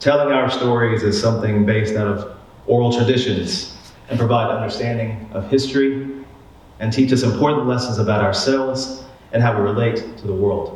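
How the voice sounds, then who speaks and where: A man with an American accent speaks fairly quickly at a medium pitch with fairly even intonation, and audible room echo surrounds his voice. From Oklahoma, Tulsa. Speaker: university administrator. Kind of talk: personal essay reading.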